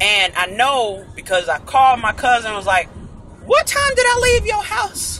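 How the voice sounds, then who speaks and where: A man talks at a moderate pace. The sound is dry with no echo, over light background noise. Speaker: vlogger in passenger seat. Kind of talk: casual vlog chat. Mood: amused, storytelling with laughs. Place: car. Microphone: phone near.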